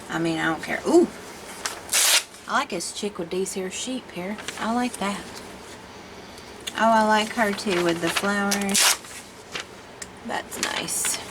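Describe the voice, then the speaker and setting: Pausing long and often, a woman with a Southern US accent talks at a fairly slow pace, at medium pitch with ordinary pitch variation, over noticeable background noise. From Tennessee, US South. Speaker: art video creator. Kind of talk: casual chat. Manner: chatty, rambling conversational.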